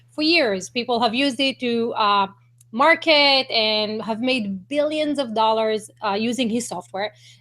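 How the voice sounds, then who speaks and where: A woman's fairly high, bright and sharp voice with a non-native accent, at a fairly slow pace with ordinary pitch variation, on a very clean recording with a silent background. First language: not English. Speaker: online marketing broadcaster. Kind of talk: live-stream interview. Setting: live video hangout.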